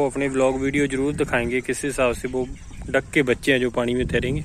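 The speech moves at a fairly quick pace with little pitch movement. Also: man.

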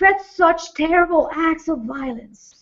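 A woman speaking at a very slow pace against a quiet background. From Latin American heritage. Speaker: pastor. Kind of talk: fervent spoken prayer for mass-shooting victims. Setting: online multifaith vigil gathering. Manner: hesitant, repeating words before the prayer; impassioned, rhythmic repetition during prayer. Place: studio.

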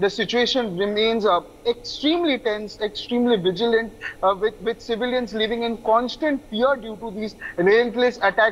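A man talks at a moderate pace. His pitch is high. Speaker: news correspondent. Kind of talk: news report to camera. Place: open country.

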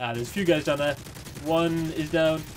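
Fairly quick, fairly high-pitched speech from a man over noticeable background noise. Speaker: gamer. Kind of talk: gameplay commentary. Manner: casual.

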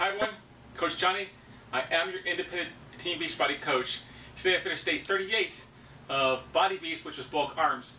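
Talking at a very fast pace, a man uses lively intonation at a high pitch. Room echo is audible, along with light background noise. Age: 50s. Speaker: fitness coach. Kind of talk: casual vlog update. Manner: casual with fillers. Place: home room. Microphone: camera far.

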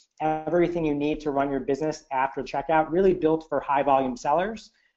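A man with an American accent and an unremarkable speaking voice, fairly high in pitch, at a fairly quick pace with fairly even intonation, against a quiet background. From United States. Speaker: e-commerce entrepreneur. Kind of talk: webinar presentation. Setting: online webinar call. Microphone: headset.

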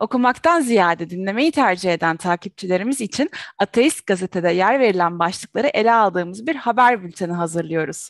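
Against a quiet background, a woman speaks at a fairly quick pace with lively intonation in a dry sound with no echo. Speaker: show host. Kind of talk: announcements to viewers. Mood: cheerful. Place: home room. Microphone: headset.

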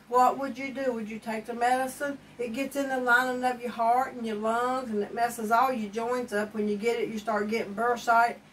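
A woman speaks at a moderate pace with a fairly high pitch and little pitch movement.

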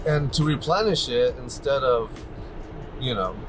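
Over music in the background, a man speaks at a moderate pace. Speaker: family road trip vlogger. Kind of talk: casual vlog chat. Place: car. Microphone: lapel.

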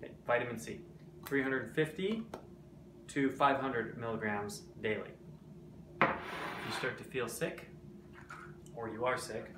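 There is noticeable background noise as a man speaks with long, frequent pauses. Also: moderate pace. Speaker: presenter. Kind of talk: casual tips vlog. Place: kitchen. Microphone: phone near.

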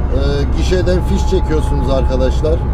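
There is loud background noise. The speaker is a man. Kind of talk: casual vlog chat. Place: car. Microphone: camera far.

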